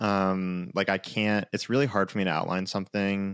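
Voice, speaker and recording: An unremarkable speaking voice belongs to a man with fairly low pitch and a moderate pace. The recording is very clean, with a silent background and a dry, close sound with no echo. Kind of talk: casual interview chat.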